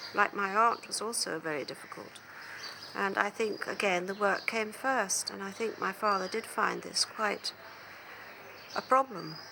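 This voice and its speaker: A medium-pitched woman's voice at a moderate pace, with long, frequent pauses over noticeable background noise. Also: ordinary pitch variation. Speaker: author's daughter. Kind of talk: documentary interview answer.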